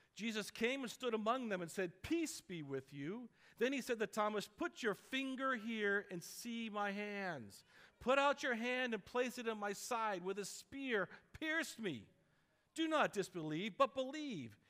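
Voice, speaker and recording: A man's raised, projected voice with a bright, sharp tone, at a fairly slow pace, against a quiet background. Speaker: pastor. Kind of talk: sermon. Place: church. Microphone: headset.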